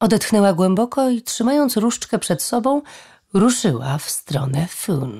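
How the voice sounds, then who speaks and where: In a dark, mellow tone that is somewhat breathy, a woman talks at a moderate pace with very wide pitch swings. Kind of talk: audiobook reading of fantasy novel, scripted narration. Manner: expressive storytelling, vivid and measured.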